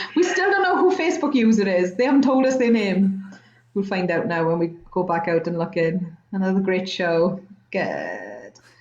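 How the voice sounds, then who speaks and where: A woman with a British accent, medium pitch and lively intonation, amid noticeable background noise and audible room echo. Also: moderate pace. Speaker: chat show host. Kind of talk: live-streamed casual chat. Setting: live video stream.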